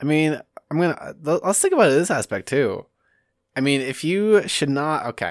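In a very clean recording with a silent background, a man with a normal speaking voice talks at a moderate pace and fairly high pitch. His intonation is lively, and the sound is dry and close with no echo. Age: 20s. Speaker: podcast host. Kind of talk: casual chat.

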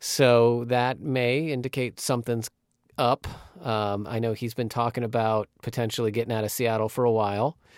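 The speaker uses a normal speaking voice at a moderate pace with fairly even intonation. The recording is very clean, with a silent background and a dry, close sound with no echo. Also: man, medium pitch for a man. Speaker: sports podcast host. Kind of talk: casual sports chat.

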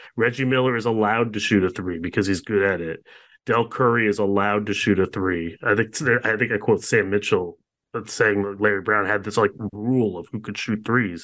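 A man's fairly low, unremarkable speaking voice at a fairly quick pace, with fairly even intonation and a quiet background. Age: 30s. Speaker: sports writer and author. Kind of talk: interview.

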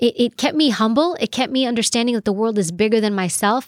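A fairly high-pitched woman's voice, dry and close with no echo, on a very clean recording over a silent background. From New York City. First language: Greek. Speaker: former federal agent, author and professor. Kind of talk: casual interview chat.

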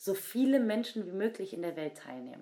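Here is a woman with a normal speaking voice at medium pitch. Her intonation is lively and her pace moderate. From Germany, Cologne. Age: 20s. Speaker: breakdancer. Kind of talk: interview.

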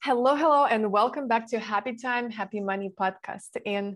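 It is a plain, everyday voice with ordinary pitch variation. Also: woman. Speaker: podcast host. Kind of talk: interview.

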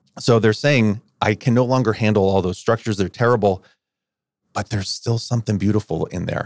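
In a very clean recording with a silent background and a dry, close sound with no echo, a man with a normal speaking voice talks at a fairly quick pace, his fairly low pitch carrying fairly even intonation. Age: 50s. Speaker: pastor. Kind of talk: casual chat.

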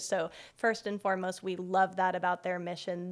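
This is a plain, everyday voice with an American accent. The pace is moderate. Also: woman. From Boulder, Colorado. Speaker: podcast host. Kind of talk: casual chat; scripted read. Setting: bookstore, in person.

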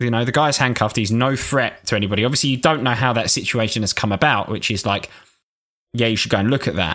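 On a very clean recording with a silent background, a man at a medium pitch talks very fast in a bright, sharp tone, with very even loudness and ordinary pitch variation. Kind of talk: casual banter between friends, podcast. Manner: joking, laughs a lot.

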